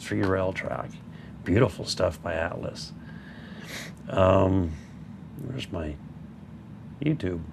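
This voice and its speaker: Against noticeable background noise, a man with a very deep, low pitch talks at a moderate pace with lively intonation. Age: 60s. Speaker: model railroad YouTuber. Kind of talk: casual livestream chat. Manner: halting.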